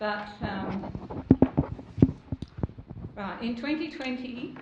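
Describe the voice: In a room with audible echo, a woman speaks at a very slow pace with a fairly high pitch and lively intonation.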